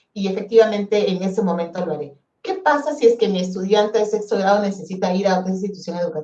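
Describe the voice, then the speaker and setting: A woman with a medium pitch talks very quickly, her pitch varying in an ordinary way. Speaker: education ministry specialist. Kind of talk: webinar presentation. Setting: online webinar. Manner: fast.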